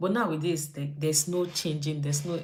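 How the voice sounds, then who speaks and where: A woman speaks in a very deep, low pitch, somewhat breathy, with audible room echo around her. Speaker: YouTube vlogger. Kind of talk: casual livestream chat. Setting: live stream from home. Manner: fast.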